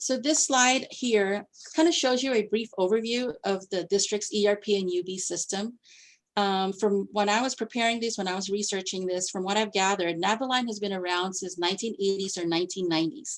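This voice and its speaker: In an unremarkable speaking voice, a woman talks at a fairly quick pace, medium in pitch with ordinary pitch variation. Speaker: district finance staff presenter. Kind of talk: presentation at board committee meeting.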